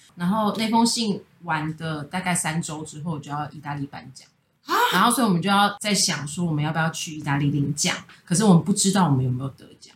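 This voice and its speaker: Here a woman with a normal speaking voice, a fairly low pitch and ordinary pitch variation moves at a fairly quick pace. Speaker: pastry chef and bakery co-founder. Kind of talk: casual chat. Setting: recording at a friend's home.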